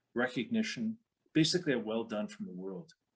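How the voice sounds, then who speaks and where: With a Canadian accent, a man speaks in an ordinary speaking voice with lively intonation. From western Canada, Calgary. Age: 60s. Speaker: retired police officer and speaker. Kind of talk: talk to an online audience.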